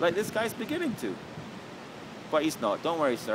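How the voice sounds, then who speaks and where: A man at a moderate pace, high-pitched, with very wide pitch swings and noticeable background noise. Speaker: vlogger. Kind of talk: casual monologue. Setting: outdoors. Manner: loud.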